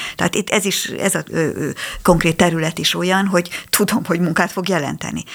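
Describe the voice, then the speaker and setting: Her delivery is monotone and flat, at a fairly low pitch. The woman keeps a fairly quick pace. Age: 60s. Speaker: psychologist. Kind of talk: radio interview. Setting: studio. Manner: halting.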